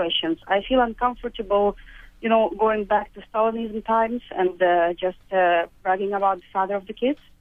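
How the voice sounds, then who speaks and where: In a Russian accent, a woman talks at a moderate pace in a fairly high pitch with ordinary pitch variation. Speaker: caller. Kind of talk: phone-in call. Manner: halting, many hesitations.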